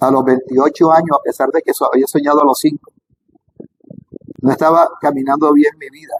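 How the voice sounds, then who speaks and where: Speaking at a fairly quick pace, a man with a fairly high pitch is heard in a dry, close sound with no echo. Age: 60s. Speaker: spiritual teacher on Kabbalah. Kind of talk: spiritual talk to camera. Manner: halting.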